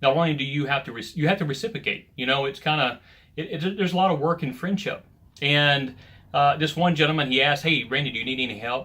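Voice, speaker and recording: On a very clean recording with a silent background, a man with a Southern US accent talks at a very fast pace, his fairly high pitch showing ordinary variation. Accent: Southern American. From US South. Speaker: men's ministry leader. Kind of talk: devotional talk. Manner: casual.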